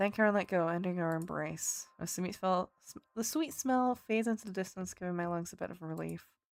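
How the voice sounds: Pitch moves up and down in an ordinary way. It is a natural reading voice.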